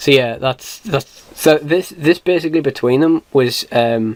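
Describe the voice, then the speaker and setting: Speaking with a British accent at a very slow pace, a man holds a medium pitch. His intonation is fairly even. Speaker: miniatures collector. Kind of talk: casual talk to camera. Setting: poor camera recording. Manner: hesitant, many fillers.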